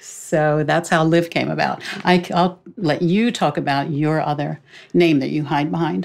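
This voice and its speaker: Her voice very deep and low with vocal fry, a woman speaks at a fairly slow pace with ordinary pitch variation. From Greek-American family. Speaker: thriller author. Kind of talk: casual chat.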